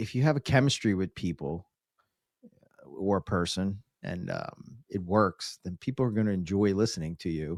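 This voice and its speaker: At a moderate pace with ordinary pitch variation, a speaker with a Philadelphia accent is heard in a very clean, dry, close recording with a silent background and no echo. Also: man. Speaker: reptile podcaster. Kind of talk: casual interview chat.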